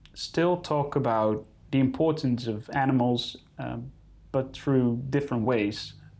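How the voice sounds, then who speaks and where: With a Dutch accent, a man speaks at a very slow pace and a medium pitch. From Netherlands. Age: 30s. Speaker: wildlife photographer. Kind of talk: interview. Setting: in-person studio. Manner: hesitant, many fillers.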